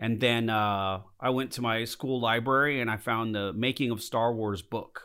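A plain, everyday voice with an American accent, at a moderate pace and with hardly any pauses. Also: man, medium pitch for a man. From Southern California (Lancaster). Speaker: model maker and visual effects artist. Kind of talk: casual interview. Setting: conference room.

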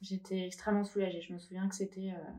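A woman of medium pitch speaks in a dark, mellow tone. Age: 30s. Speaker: breast cancer survivor and shop owner. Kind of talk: interview testimony.

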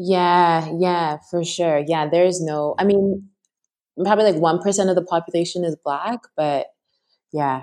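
Speaking at a fairly slow pace with an unremarkable speaking voice, a woman with a Canadian accent talks in a fairly low pitch with fairly even intonation. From Canada, Toronto. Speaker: mindfulness teacher. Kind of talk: interview conversation.

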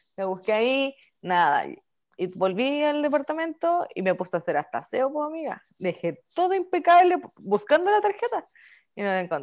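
A woman with a Chilean accent talks at a moderate pace and high pitch, with very wide pitch swings, in a very clean recording with a silent background. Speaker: podcast co-host. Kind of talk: casual chat.

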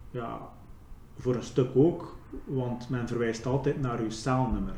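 A man speaks at a medium pitch and a fairly slow pace. Audible room echo surrounds his voice. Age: 30s. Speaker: ex-prisoner. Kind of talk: interview testimony.

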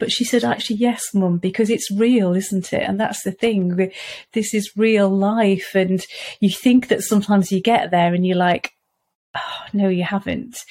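A woman with a Welsh accent and a dark, mellow tone speaks at medium pitch and a moderate pace, with ordinary pitch variation. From Wales. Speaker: parent of eating disorder patient, author. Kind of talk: casual interview chat.

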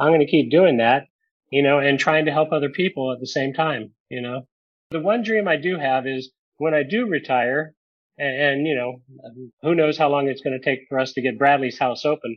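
A man talks in an unremarkable speaking voice at a moderate pace, his pitch fairly high and ordinary in its variation. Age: 60s. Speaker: tour manager in addiction recovery. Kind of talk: testimony.

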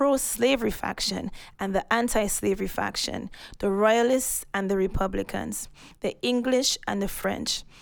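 A woman talks at a fairly slow pace with vocal fry and ordinary pitch variation. The recording is very clean, with a silent background. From Saint Lucia. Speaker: photographer and historian. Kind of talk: casual interview conversation. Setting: museum recording.

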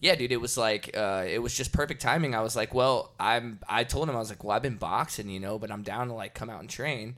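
In a plain, everyday voice with an American accent, a man speaks at a fairly quick pace and medium pitch, with ordinary pitch variation and big swings in loudness, on a very clean recording with a silent background. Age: 30s. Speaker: heavy metal musician and combat sports coach. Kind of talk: casual interview chat.

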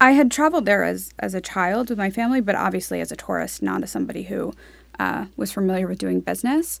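A woman speaking at a very fast pace, in a very clean recording with a silent background. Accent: American. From New York City, Upper East Side. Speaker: real estate marketing executive. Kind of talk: interview.

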